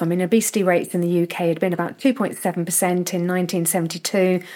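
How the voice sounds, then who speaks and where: Recorded very cleanly against a silent background, a woman speaks at a medium pitch with a British accent. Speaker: nutrition researcher. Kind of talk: casual chat.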